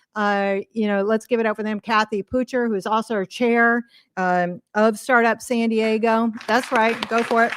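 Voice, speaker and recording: Crowd noise fills the background as a woman talks at a moderate pace. Her fairly high voice is monotone and flat, and the sound is dry and close with no echo. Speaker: event organizer and emcee. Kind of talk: opening remarks to a live audience. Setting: stage with audience.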